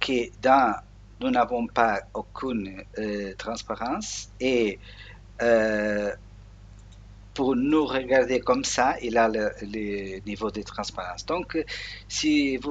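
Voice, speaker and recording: Very slow male speech with a Portuguese accent, medium pitch, ordinary pitch variation and long, frequent pauses. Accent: Portuguese-accented French, non-native. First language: Portuguese (speaking French). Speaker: Linux software tutorial maker. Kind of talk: screen tutorial. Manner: halting, many hesitations.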